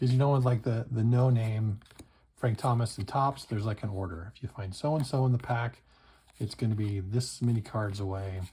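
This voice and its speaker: A man speaks at a fairly quick pace with a medium pitch, his voice somewhat breathy and his tone dark and mellow. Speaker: card collecting youtuber. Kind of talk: pack opening commentary. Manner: casual, animated.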